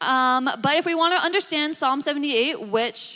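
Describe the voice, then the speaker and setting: In a raised, projected voice with a bright, sharp tone, the speaker moves at a fairly quick pace with lively intonation. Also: woman. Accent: American. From Australia. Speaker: preacher. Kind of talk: sermon. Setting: church. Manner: casual, animated.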